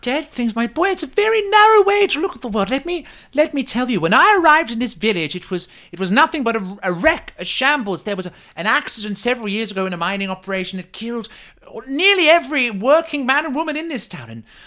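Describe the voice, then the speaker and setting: Put-on character voice at a fairly high pitch, with very wide pitch swings. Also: fairly quick pace. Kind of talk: comic fantasy roleplay. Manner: pompous, fussy, genteel.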